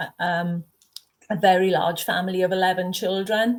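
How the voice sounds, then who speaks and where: With a South Wales Valleys accent, a woman talks at a medium pitch with fairly even intonation. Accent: South Wales Valleys Welsh English. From Wales, South Wales Valleys. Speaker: horror author, retired teacher. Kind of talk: interview conversation.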